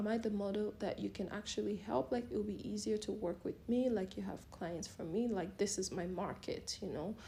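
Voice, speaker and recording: Speaking with hardly any pauses, a woman uses a medium pitch, a dark, mellow tone with vocal fry, and ordinary pitch variation. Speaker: model and vlogger. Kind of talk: casual advice talk. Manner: fast.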